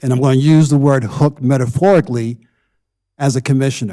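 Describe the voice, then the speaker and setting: This man's voice sits fairly high in pitch, with a dark, mellow tone, ordinary pitch variation and a moderate pace. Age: 70s. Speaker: town commissioner. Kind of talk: council meeting remarks. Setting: town board meeting on dais.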